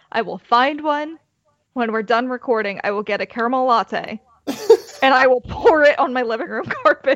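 At a moderate pace, a woman talks in a high-pitched voice. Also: ordinary pitch variation. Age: 20s. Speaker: podcast host. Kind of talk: casual chat.

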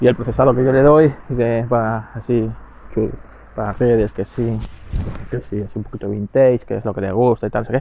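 A man speaks at medium pitch and a moderate pace. His intonation stays fairly even. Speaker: podcast host. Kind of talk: casual monologue. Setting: outdoors walking the dog. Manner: halting, many fillers.

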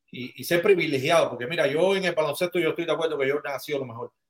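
Speaking with ordinary pitch variation, a man has an unremarkable speaking voice pitched fairly high. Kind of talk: casual chat.

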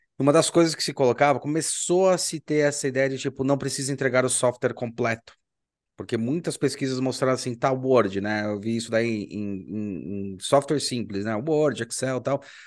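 This man has a normal speaking voice, pitched medium with ordinary variation. He keeps a moderate pace against a quiet background. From Brazil. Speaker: podcast host and university professor. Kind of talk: casual interview.

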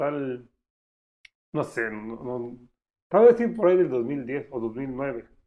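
A man's voice swings very widely in pitch. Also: long, frequent pauses, big swings in loudness. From Mexico, San Cristóbal. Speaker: podcast co-host. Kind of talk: casual chat.

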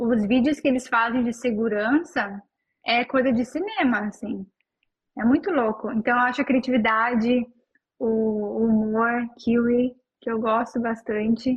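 At a fairly slow pace, a woman talks in an unremarkable speaking voice, fairly high in pitch, with fairly even intonation. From southern Brazil, Novo Hamburgo (Rio Grande do Sul). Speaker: Brazilian expat in New Zealand. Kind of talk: casual interview.

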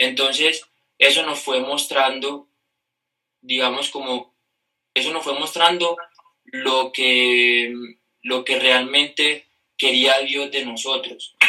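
Pausing long and often, a man speaks at a very slow pace. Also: medium pitch for a man. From Colombia, Caribbean coast (Cartagena). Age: 20s. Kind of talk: casual interview chat.

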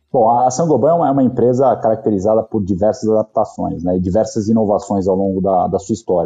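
A man with a São Paulo accent talks at a fairly quick pace with hardly any pauses, his tone dark and mellow, his loudness very even and his pitch variation ordinary. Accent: Paulistano Brazilian Portuguese. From São Paulo, Brazil (Zona Norte). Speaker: company executive. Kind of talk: interview.

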